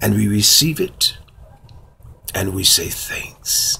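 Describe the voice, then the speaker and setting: This man speaks at a very slow pace. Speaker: speaker. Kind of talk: casual inspirational vlog message. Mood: warm, smiling, uplifting. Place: home room. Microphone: phone near.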